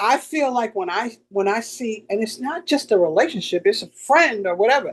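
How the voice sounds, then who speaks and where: A moderate pace paired with lively intonation. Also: woman, fairly high pitch for a woman. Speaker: podcast co-host. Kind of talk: casual chat. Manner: loud, expressive.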